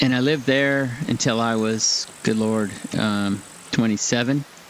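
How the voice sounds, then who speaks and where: Speaking at a fairly slow pace with a West Coast US accent, a man keeps a medium pitch and fairly even intonation amid noticeable background noise. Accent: General American, West Coast. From California, LA County. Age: 60s. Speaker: gaming streamer. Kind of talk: casual live-stream commentary while gaming. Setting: home live stream. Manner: conversational, rambling.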